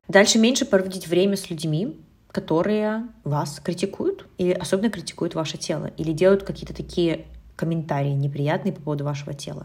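The speaker is a woman with a fairly low pitch and a somewhat breathy voice. She talks at a fairly quick pace. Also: ordinary pitch variation. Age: 30s. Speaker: nutritionist and eating behavior coach, podcast host. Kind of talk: solo podcast monologue, advice talk.

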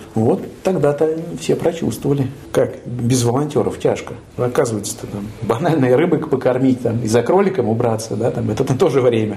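Moderate-paced speech from a man, plus noticeable background noise and audible room echo. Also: medium pitch for a man, ordinary pitch variation. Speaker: hospice head physician. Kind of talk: casual chat. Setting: hospice hall.

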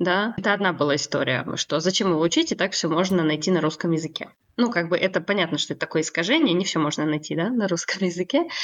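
A woman talks at a very fast pace in a fairly low pitch. Her pitch varies in an ordinary way, and her loudness stays very even. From Kazakhstan. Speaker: language teacher and psychologist. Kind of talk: casual interview.

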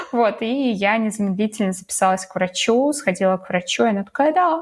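Very wide pitch swings in a woman's fairly high voice, at a moderate pace. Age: 20s. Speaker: podcast co-host, new mother. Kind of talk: casual chat. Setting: remote call between cities.

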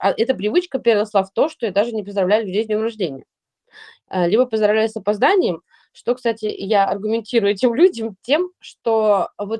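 Here a woman uses a plain, everyday voice at a fairly high pitch and a fairly quick pace. The sound is dry and close with no echo. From Russia, St Petersburg. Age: 30s. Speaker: podcast co-host, blogger. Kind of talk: casual chat.

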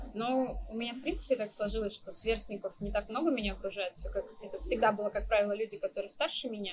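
Speaking at a very fast pace with hardly any pauses, a woman uses a fairly high pitch and ordinary pitch variation. Her voice is somewhat breathy. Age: 20s. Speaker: coffee shop manager. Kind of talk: interview.

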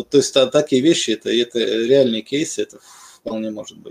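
Ordinary pitch variation marks this man's medium-pitched, unremarkable speaking voice. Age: 40s. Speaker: programmer who switched careers. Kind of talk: casual chat.

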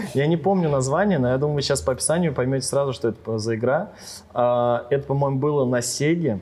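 A man with a fairly high pitch and a dark, mellow tone, very fast pace, ordinary pitch variation, very even loudness, and a quiet background. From Ryazan region, Russia. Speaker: DJ. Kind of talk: casual chat.

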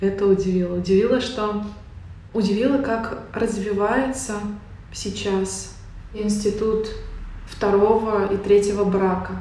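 Against noticeable background noise, a woman at a medium pitch talks very slowly in a flat monotone, with long, frequent pauses. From Tatarstan, Russia; Naberezhnye Chelny. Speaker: book author. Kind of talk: casual interview chat. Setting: library.

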